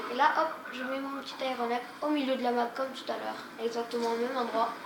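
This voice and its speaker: A woman's high voice in a flat monotone at a moderate pace, with audible room echo and noticeable background noise. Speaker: gaming youtuber. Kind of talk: gameplay commentary. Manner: casual, hesitant.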